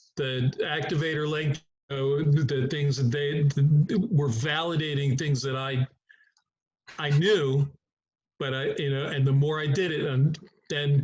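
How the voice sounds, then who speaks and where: A man with an American accent speaks at a fairly slow pace in a somewhat breathy, fairly high voice, his intonation fairly even and his pauses long and frequent. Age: 70s. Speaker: chiropractor. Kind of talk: group discussion.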